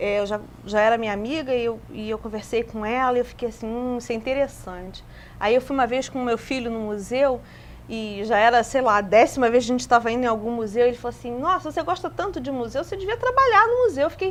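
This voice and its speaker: A woman with a high pitch talks very fast, showing ordinary pitch variation. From Brazil, Rio de Janeiro. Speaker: museologist. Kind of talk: TV interview. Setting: TV studio.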